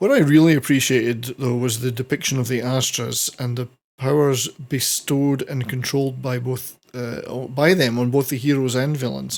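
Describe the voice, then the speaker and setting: A man with a Scottish accent and a medium pitch speaks at a moderate pace. He barely pauses, and his intonation stays fairly even. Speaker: film reviewer. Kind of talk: casual review talk to camera.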